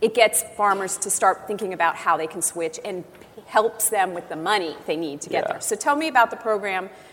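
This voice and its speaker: A woman with an unremarkable speaking voice talks at a fairly quick pace in a medium pitch, her intonation lively and her loudness swinging widely. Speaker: interviewer, editorial director. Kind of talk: live interview. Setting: conference stage with audience.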